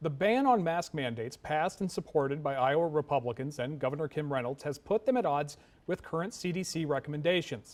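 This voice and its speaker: Using a normal speaking voice, a man with a fairly high pitch talks at a fairly quick pace, his intonation lively. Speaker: TV news anchor. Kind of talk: television newscast anchor read.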